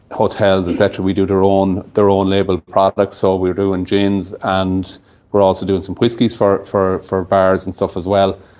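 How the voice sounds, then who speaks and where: Speaking at a moderate pace with hardly any pauses, a man with an Irish Midlands accent delivers his lines in a very deep, low, monotone, flat voice. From Ireland, County Longford. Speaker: distillery owner presenting at a whiskey tasting. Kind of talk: tasting event talk. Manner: hesitant with many fillers and repetitions.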